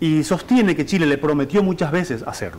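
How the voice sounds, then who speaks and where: A man's very fast speech with lively intonation. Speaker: TV journalist. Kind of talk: studio report on interview.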